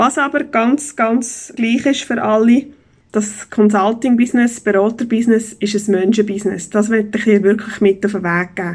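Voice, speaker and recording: A woman talks at a moderate pace in a fairly high, somewhat breathy voice. Her pitch varies in an ordinary way. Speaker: business consultant and podcast host. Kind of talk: solo podcast monologue.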